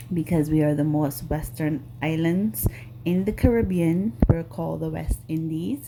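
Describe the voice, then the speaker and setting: Over noticeable background noise, a woman with a very deep, low pitch talks at a fairly slow pace with lively intonation. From Grenada, rural village. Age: 40s. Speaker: nail artist YouTuber. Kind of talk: casual chat. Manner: hesitant, many fillers.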